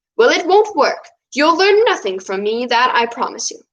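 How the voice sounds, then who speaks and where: A woman does a put-on character voice, strained and extremely high-pitched, with very wide pitch swings at a moderate pace. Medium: read story. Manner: terse, guarded.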